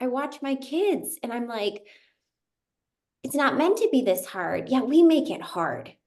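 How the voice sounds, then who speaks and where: A woman talks at a moderate pace with a high voice. Her pitch swings very widely. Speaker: interview host. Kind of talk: casual interview conversation.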